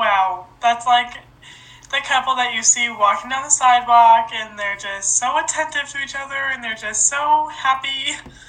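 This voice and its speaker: There is noticeable background noise as a woman speaks at a moderate pace. Her pitch is high, with ordinary variation. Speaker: podcast host. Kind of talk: casual chat.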